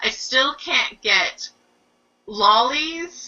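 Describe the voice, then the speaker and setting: Very wide pitch swings in a Canadian accent. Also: woman. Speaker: book reviewer. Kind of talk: casual chat.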